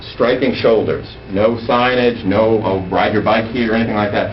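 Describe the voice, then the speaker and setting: With noticeable background noise and audible room echo, a man of fairly low pitch speaks at a fairly quick pace with ordinary pitch variation. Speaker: transportation planning presenter. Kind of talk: presentation to town council. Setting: council chambers meeting. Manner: fast.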